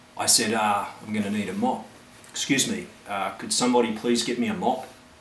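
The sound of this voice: Noticeable background noise sits behind a man speaking at a fairly quick pace, with medium pitch and ordinary pitch variation.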